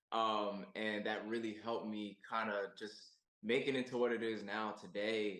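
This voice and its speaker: A man's fairly low voice at a fairly slow pace. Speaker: singer-songwriter. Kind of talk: interview. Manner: halting, many fillers.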